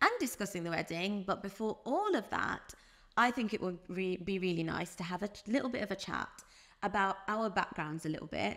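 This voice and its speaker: A woman talks at a fairly quick pace with a British accent. Her medium-pitched voice has lively intonation. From UK. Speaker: podcast co-host. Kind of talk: casual chat.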